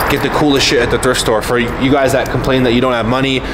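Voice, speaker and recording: A man talks at a very fast pace in a monotone, flat intonation. Noticeable background noise is present. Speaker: fitness vlogger. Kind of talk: casual vlog chat. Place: street. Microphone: phone near.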